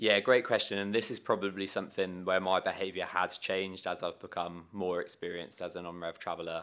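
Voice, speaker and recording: The speaker has a British accent and a fairly quick pace. The intonation is monotone and flat. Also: man, very deep, low pitch for a man. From UK. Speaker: airline travel software sales and account manager. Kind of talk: casual interview. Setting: company office.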